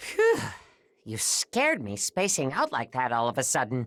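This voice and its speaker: Using a put-on character voice at a low-to-middle pitch, the speaker goes at a moderate pace on a very clean recording with a silent background. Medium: video game. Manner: casual, energetic.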